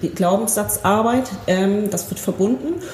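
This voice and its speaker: Over noticeable background noise and audible room echo, a woman speaks at a fairly slow pace, her medium pitch showing ordinary variation. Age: 40s. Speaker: spiritual healing practitioner. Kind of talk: interview. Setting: practice room.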